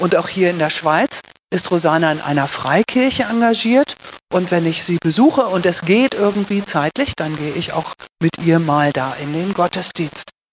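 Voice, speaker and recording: Music plays behind a woman whose pitch is fairly low and whose intonation is lively. Her moderate-paced speech has a dry, close sound with no echo. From northern Germany, Lüneburg Heath. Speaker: pastor. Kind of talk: interview. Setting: church.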